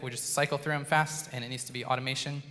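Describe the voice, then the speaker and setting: With fairly level intonation, this man delivers his words very fast. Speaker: school band director. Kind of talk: concert introduction. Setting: stage with audience, PA system. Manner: loud.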